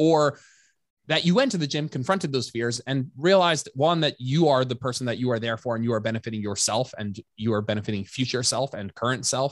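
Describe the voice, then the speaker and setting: A man speaks at a fairly quick pace in an ordinary speaking voice, his pitch medium with ordinary variation. The recording is very clean with a silent background and a dry, close sound with no echo. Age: 30s. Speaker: personal trainer and coach. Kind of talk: casual chat.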